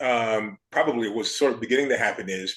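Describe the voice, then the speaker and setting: The intonation moves in a lively way. It is a normal speaking voice. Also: man. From Chicago South Side. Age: 60s. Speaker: architecture critic. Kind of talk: casual chat.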